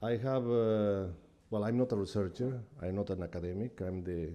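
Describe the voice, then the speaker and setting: With a non-native accent, a man speaks at a moderate pace. His tone is dark and mellow. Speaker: UN technical advisor. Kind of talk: conference talk.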